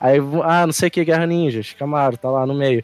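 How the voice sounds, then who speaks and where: Music plays in the background as a man talks. His pitch is fairly high and his pace fairly quick. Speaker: guest podcaster. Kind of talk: casual chat about anime.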